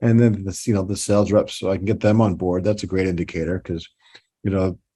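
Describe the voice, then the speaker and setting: A man talks very fast in a New York accent, with a fairly low pitch. His tone is dark and mellow, and his intonation is monotone and flat. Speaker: toy designer and company president. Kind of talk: podcast interview. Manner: halting, many repeats and fillers.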